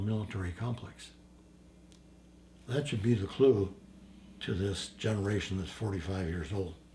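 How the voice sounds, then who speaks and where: A man with a fairly low, dark, mellow voice speaks at a moderate pace. He sounds somewhat breathy and leaves long, frequent pauses. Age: 80s+. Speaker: war veteran. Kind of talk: interview answer.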